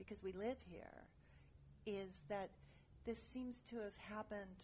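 Somewhat breathy, a woman talks at a moderate pace with medium pitch and fairly even intonation. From San Francisco Bay Area, Berkeley. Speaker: actress and costume designer. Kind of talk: casual chat.

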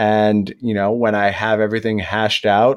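The background stays quiet. A man talks in a fairly low pitch. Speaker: podcast co-host. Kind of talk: casual chat. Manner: animated when talking about the game.

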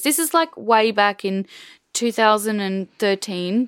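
With an Australian accent, a woman speaks at a moderate pace and fairly high pitch, in a very clean recording with a silent background and a dry, close sound with no echo. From Australia, rural Queensland. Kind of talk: casual interview conversation.

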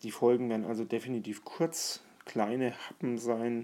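A man is speaking. His tone is dark and mellow. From Franconia, near Bamberg. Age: 40s. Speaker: podcaster. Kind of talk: solo monologue.

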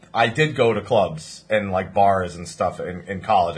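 A man's fairly low, somewhat breathy voice with lively intonation. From New Jersey. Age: 20s. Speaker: podcast host. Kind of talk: casual chat.

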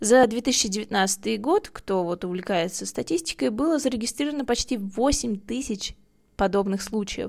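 On a very clean recording with a silent background, a woman with an unremarkable speaking voice talks at a fairly slow pace and a fairly high pitch, her intonation lively. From Russia. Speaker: podcast host. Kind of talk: scripted narration.

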